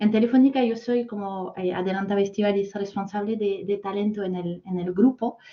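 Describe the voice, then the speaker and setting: A woman with a French accent speaks at a medium pitch. Her voice is somewhat breathy. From France. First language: French (speaking Spanish). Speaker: corporate talent manager. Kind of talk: masterclass talk. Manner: hesitant, many fillers.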